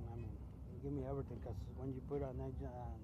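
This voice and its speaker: A man at a very fast pace, dry with no echo, against loud background noise. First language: Spanish. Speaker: truck driver vlogger. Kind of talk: casual vlog monologue. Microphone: phone near.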